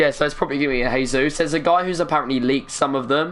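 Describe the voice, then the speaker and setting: There's noticeable background noise. Over it, a man talks. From England, East London. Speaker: gaming live streamer. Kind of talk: live stream chat with viewers.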